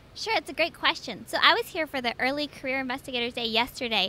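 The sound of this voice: A woman speaks fast in a high-pitched voice with a bright, sharp tone. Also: ordinary pitch variation.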